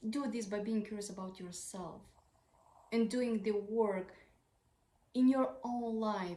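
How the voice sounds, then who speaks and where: A woman's somewhat breathy, medium-pitched voice with a non-native accent, fairly even intonation and a fairly slow pace. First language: not English. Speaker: parenting advice creator. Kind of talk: tutorial.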